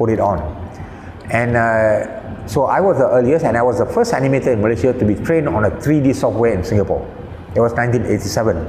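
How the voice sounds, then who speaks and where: A man speaks at a fairly quick pace with audible room echo and light background noise. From Malaysia. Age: 70s. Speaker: animation director and film critic. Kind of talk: interview answer. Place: home room. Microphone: lapel.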